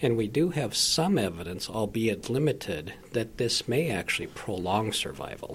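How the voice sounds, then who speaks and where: A man's medium-pitched voice with very wide pitch swings and very even loudness, over noticeable background noise. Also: moderate pace, hardly any pauses. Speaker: physician. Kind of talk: explanation.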